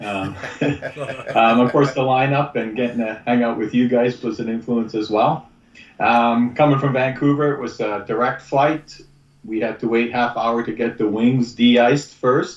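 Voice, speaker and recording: This man has an unremarkable speaking voice, pitched in the middle and fairly even in intonation, and he moves at a moderate pace. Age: 60s. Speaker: podcast guest. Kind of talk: casual chat.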